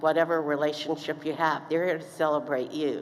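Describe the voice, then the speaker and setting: Audible room echo surrounds a woman with a very deep, low pitch and an American accent, speaking at a fairly quick pace in a monotone, flat intonation. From East Texas. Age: 70s. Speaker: commencement speaker. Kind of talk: commencement speech. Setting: stage with audience. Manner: halting.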